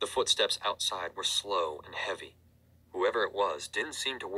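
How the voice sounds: A natural reading voice. Nothing more stands out.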